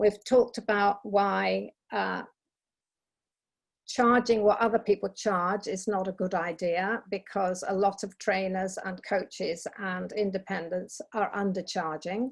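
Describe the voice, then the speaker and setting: Against a quiet background, a plain, everyday voice moves at a fairly slow pace with fairly even intonation. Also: woman, medium pitch for a woman. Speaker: business trainer. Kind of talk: webinar presentation. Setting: online webinar.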